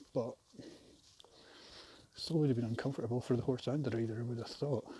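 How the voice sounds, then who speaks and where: At a very fast pace, a somewhat breathy, dark, mellow voice with a Scottish accent keeps a fairly even intonation. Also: man, medium pitch for a man. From Scotland. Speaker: vlogger. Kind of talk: casual vlog monologue while walking. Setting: outdoors, walking a trail. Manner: hesitant, many fillers.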